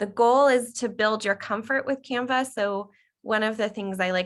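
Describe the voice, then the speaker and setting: A woman in a plain, everyday voice, with ordinary pitch variation. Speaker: workshop trainer. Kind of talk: online workshop tutorial.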